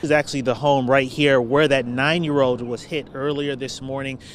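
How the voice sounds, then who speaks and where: Over noticeable background noise, a man with fairly high pitch speaks at a fairly quick pace in a monotone, flat intonation. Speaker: news anchor and reporter. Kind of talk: live field news report. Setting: outdoors.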